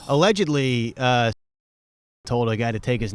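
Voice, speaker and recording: Medium pitch marks this man's voice. He talks at a moderate pace. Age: 30s. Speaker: comedian and podcast host. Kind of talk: casual chat.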